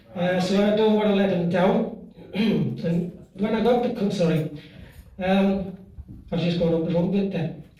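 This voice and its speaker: With audible room echo and noticeable background noise, a high-pitched man speaks at a moderate pace. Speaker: after-dinner speaker. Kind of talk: humorous toast speech.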